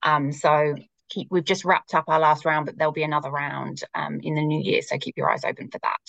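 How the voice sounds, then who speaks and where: A woman with a British accent in a dry, close sound with no echo. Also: fairly quick pace. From UK. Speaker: marketing executive. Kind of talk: casual interview chat.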